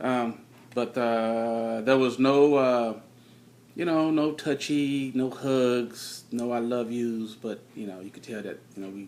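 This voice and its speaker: A man speaks quietly at a medium pitch, with big swings in loudness. His pace is very slow and his intonation fairly even. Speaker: married couple sharing their story. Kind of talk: testimony. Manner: halting.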